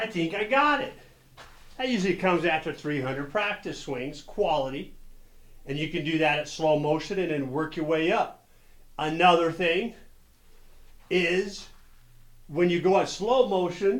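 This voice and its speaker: A high-pitched man speaks at a moderate pace with ordinary pitch variation and long, frequent pauses. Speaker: golf instructor. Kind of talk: tutorial.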